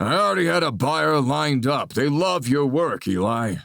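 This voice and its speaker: A man puts on a raspy character voice at a medium pitch. He speaks at a moderate pace with very even loudness. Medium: read story.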